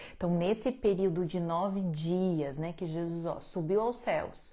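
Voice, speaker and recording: A soft-spoken woman talks at a very slow pace in a fairly low pitch, with a dark, mellow tone, ordinary pitch variation and audible room echo. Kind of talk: religious teaching livestream.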